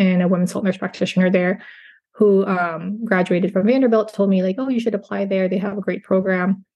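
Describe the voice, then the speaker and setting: A woman talks at a medium pitch with a somewhat breathy sound. She has an American accent. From California. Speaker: nurse practitioner, podcast co-host. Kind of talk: casual interview chat. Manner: frequent filler hesitations.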